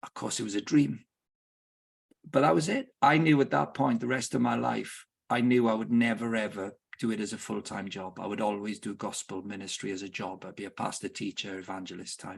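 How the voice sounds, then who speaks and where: A man's fairly low voice with vocal fry, lively intonation and a fairly quick pace. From Wales. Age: 60s. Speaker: football club director and sports ministry leader. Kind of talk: podcast interview. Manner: halting, with repetitions.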